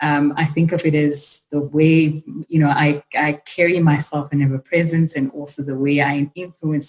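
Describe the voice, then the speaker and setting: At a moderate pace, a woman speaks with a very deep, low pitch, a somewhat breathy quality and fairly even intonation. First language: not English. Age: young. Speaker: leadership program director. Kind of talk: panel discussion.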